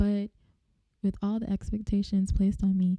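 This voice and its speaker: This woman's voice is somewhat breathy, with a dark, mellow tone. Her pitch sits at a medium level. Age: 20s. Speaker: podcast host. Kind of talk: casual monologue. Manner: animated.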